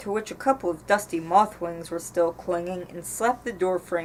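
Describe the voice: Pitch varies in an ordinary way throughout this plain reading aloud.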